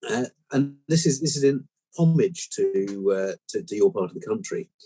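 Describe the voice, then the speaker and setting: The pitch swings very widely. The sound is dry and close with no echo, and music plays in the background. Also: man, fairly high pitch for a man, moderate pace. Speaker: podcast host. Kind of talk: joke telling on podcast.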